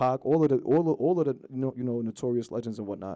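A man speaks in a New York accent at a medium pitch. His tone is dark and mellow, with ordinary pitch variation. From New York, Long Island. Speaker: rapper. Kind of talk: casual interview.

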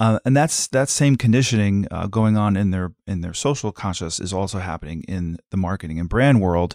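In a very clean recording with a silent background and a dry, close sound with no echo, a man with a plain, everyday voice and fairly low pitch talks at a fairly quick pace with hardly any pauses. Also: ordinary pitch variation. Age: 50s. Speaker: advertising creative director. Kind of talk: interview.

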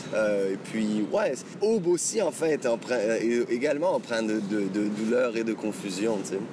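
A man speaks very slowly in a medium pitch, his loudness very even. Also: ordinary pitch variation. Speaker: singer-songwriter. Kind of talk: interview. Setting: outdoors. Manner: halting.

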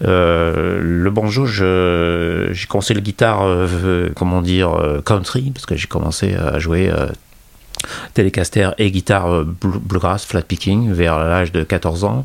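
Over noticeable background noise, the speech goes very slowly with ordinary pitch variation. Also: man, very deep, low pitch for a man. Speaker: guitarist and guitar journalist. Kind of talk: casual interview.

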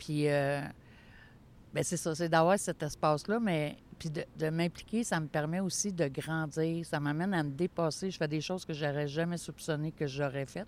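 At a moderate pace, a woman speaks with fairly even intonation in a very deep, low pitch. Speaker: board president of a mental health network. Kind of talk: interview.

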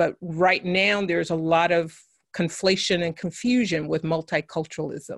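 In a dry, close sound with no echo, someone with an American accent speaks in an unremarkable speaking voice with ordinary pitch variation. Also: woman. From US West Coast (San Francisco). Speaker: education author and consultant. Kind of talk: interview.

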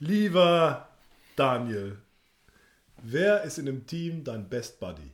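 Very slow and somewhat breathy, a man speaks with long, frequent pauses, very wide pitch swings and big swings in loudness. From Sauerland, Germany. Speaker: podcast host. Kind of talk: casual chat.

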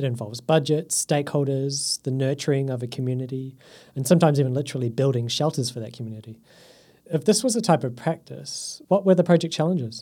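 On a very clean recording with a silent background, a man talks at a very fast pace in a fairly high pitch, somewhat breathy, with a dark, mellow tone and ordinary pitch variation. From New Zealand. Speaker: podcast host. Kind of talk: scripted narration.

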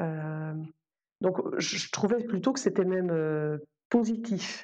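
A woman speaks at a very slow pace. Her pitch sits at a medium level. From Belgium. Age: 40s. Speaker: soprano singer and music teacher. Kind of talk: casual interview.

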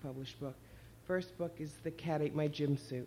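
Speaking at a moderate pace with an American accent, a woman has a very deep, low pitch and a dark, mellow tone. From New Jersey. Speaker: children's author. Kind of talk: reading aloud from her own novel. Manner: laughs often, breezy and humorous.

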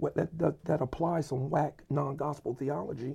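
A man's somewhat breathy voice with a dark, mellow tone and fairly even intonation. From US urban neighborhood. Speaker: pastor and church planting network leader. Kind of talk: casual chat.

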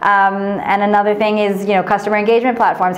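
A woman with an American accent talking very fast, with noticeable background noise and audible room echo. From United States. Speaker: venture investment manager. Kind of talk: interview. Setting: office.

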